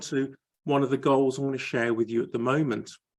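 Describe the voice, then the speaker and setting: Fairly quick delivery from a man over a quiet background. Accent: Birmingham. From Birmingham, England. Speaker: area director in a public speaking club. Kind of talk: panel talk. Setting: video call.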